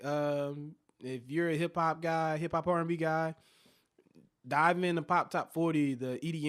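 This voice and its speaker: Recorded very cleanly against a silent background, a man talks in an American accent. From US South, Shreveport, Louisiana. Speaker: DJ and army veteran. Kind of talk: casual interview. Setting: studio.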